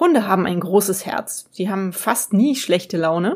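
A fairly slow, somewhat breathy female voice pitched in the middle range. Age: 40s. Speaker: podcast host and freelance journalist. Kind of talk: solo podcast monologue.

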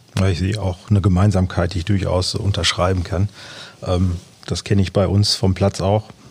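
A man speaks at a moderate pace in a very deep, low pitch, his intonation monotone and flat. Long, frequent pauses break up his speech against noticeable background noise. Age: 40s. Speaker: amateur youth football coach. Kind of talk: casual interview.

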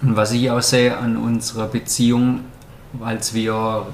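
Over noticeable background noise and audible room echo, a man speaks very slowly in a monotone, flat intonation. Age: 30s. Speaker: wine sales worker, podcast guest. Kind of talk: casual interview.

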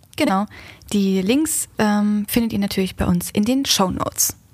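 A woman speaks at a fairly slow pace with a fairly high pitch. Her pitch varies in an ordinary way. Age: 20s. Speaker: podcast host, marketing employee. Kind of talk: casual scripted podcast intro.

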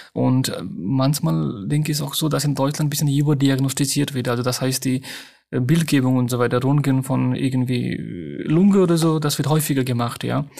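A man with a non-native accent speaks at a moderate pace. His medium-pitched voice has a dark, mellow tone and ordinary pitch variation. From Nepal. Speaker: hospital doctor. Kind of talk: interview. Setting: remote line.

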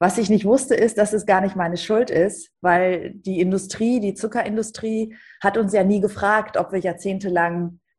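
Somewhat breathy at a medium pitch, a woman speaks at a fairly slow pace with ordinary pitch variation. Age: 50s. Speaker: TV presenter and author. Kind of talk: podcast interview. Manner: animated.

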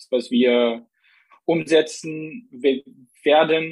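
A man speaks with ordinary pitch variation. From Saxony, Vogtland (Plauen). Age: 20s. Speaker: member of parliament, civil engineer. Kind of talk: interview.

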